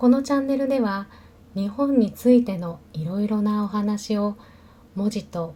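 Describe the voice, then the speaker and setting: A woman speaks very slowly in a fairly high pitch, her tone dark and mellow and somewhat breathy. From Japan. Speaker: Japanese language teacher. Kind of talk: language-learning narration. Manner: slow, careful.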